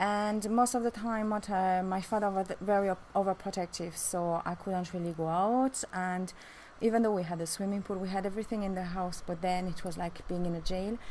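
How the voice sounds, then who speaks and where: The speaker has a French accent and fairly even intonation. The pace is fairly quick. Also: woman, medium pitch for a woman. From France. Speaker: beautician and vlogger. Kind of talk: personal life story vlog. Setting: outdoors on a rooftop. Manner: halting with many fillers.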